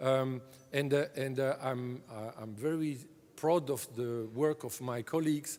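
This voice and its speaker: A man talks with a French accent at a fairly slow pace. His pitch varies in an ordinary way. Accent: French-speaking accent in English. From French-speaking Europe. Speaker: drug agency director. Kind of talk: conference keynote speech. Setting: conference stage with audience. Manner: halting, many fillers.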